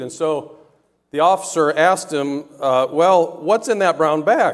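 With a quiet background, a man is talking. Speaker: pastor. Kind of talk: sermon. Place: church.

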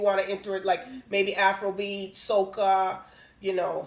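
Audible room echo surrounds a woman's voice. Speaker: talk show host. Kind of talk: casual interview. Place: home room.

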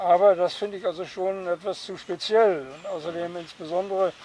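With light background noise behind him, a man talks in a high-pitched voice with fairly even intonation and a dry sound that has no echo. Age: 80s+. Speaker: philosopher; interviewee. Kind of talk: interview. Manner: hesitant, many fillers. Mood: calm, reflective. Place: garden.

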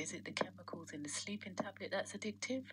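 The speaker is a woman who moves at a fairly quick pace. Behind her there is light background noise. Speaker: vlogger. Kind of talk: personal vlog diary. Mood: tired, reflective, resentful. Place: home room.

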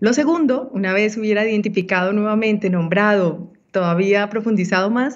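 A woman speaks in a plain, everyday voice at a medium pitch, with ordinary pitch variation. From Colombia, Ibagué (Andean region). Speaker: women's entrepreneurship mentor. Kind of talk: interview.

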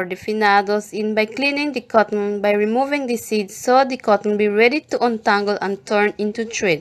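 Moderate pace and fairly high pitch from a woman, an ordinary speaking voice with ordinary pitch variation. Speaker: community librarian. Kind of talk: documentary narration.

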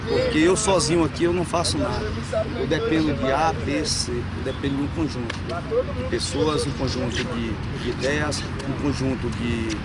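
A man talks at a fairly slow pace, the sound dry with no echo. Loud background noise fills the recording. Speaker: capoeira teacher. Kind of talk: interview answer. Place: open country.

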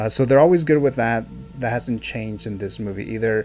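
A man is speaking with ordinary pitch variation. Faint music plays in the background. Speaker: movie reviewer. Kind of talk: review commentary. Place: home room.

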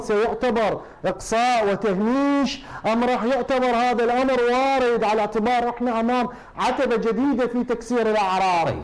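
A man speaks at a moderate pace in an extremely high pitch, his intonation fairly even. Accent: Iraqi. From Iraq. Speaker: political movement official; guest. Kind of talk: televised political debate. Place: studio. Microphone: lapel.

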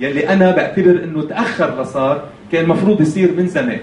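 Over light background noise with audible room echo, the speech moves at a moderate pace with ordinary pitch variation. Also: man. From Lebanon. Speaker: political commentator. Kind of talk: lecture. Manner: conversational. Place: hall.

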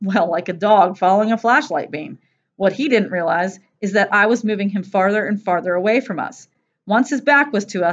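Reading aloud in a natural voice, the speaker uses ordinary pitch variation over a quiet background.

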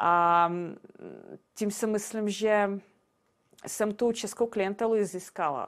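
On a very clean recording with a silent background, the speech moves at a very slow pace with fairly even intonation and long, frequent pauses. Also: woman, medium pitch for a woman. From Belarus. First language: Russian (speaking Czech). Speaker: castle sales agent. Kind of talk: podcast interview. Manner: halting, with fillers and repetitions.

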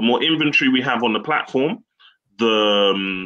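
Against a quiet background, a man keeps a moderate pace. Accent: southern English. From southern England, Slough; southern England. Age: 30s. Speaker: serviced accommodation entrepreneur; guest. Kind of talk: interview. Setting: video call. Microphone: video call.

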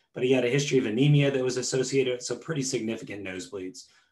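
The man speaking shows ordinary pitch variation. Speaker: presenter. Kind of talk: lecture. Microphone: webcam.

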